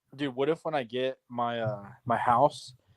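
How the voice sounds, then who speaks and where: A mumbling man at medium pitch, with a dry, close sound and no echo. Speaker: fantasy football podcast co-host. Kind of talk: casual chat.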